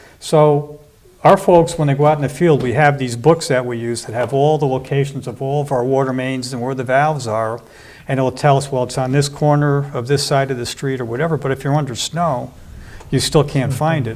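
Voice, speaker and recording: Using a plain, everyday voice, a man with a fairly high pitch talks at a fairly quick pace with fairly even intonation. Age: 60s. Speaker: water utility commissioner. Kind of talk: interview.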